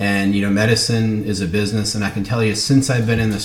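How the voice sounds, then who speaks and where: In an American accent, a man speaks at a fairly low pitch with monotone, flat intonation. Noticeable background noise and audible room echo surround him. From US Northeast, Brooklyn, New York. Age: 40s. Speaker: cardiologist and business student. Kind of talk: self-introduction video. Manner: casual, many fillers.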